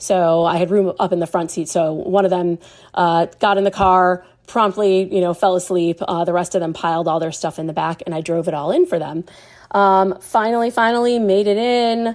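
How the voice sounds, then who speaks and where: Speaking at a moderate pace, a woman with a normal speaking voice holds a medium pitch and fairly even intonation. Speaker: festival attendee sharing a memory. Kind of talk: personal anecdote. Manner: casual with many fillers.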